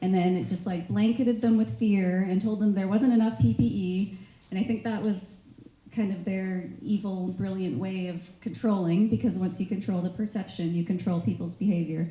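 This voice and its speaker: A soft-spoken woman at a medium pitch and moderate pace, with ordinary pitch variation and audible room echo. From Canada. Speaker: nurse. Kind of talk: testimony. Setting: stage with audience.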